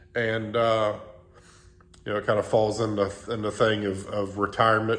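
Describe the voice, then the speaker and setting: A man's fairly low voice at a moderate pace. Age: 50s. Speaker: diesel mechanic, former truck driver and police officer. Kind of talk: casual talk to camera.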